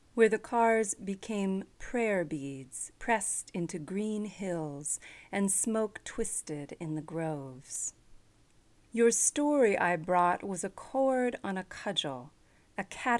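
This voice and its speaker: Over a silent background on a very clean recording, a woman speaks at medium pitch and a very slow pace with lively intonation. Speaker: radio host. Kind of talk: poem reading aloud, then brief introduction.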